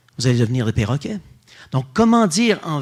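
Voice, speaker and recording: In a very clean recording with a silent background, a man talks at a very fast pace in an animated, somewhat breathy voice of fairly high pitch with very wide pitch swings. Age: 60s. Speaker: Dominican friar and theology lecturer. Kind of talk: public lecture.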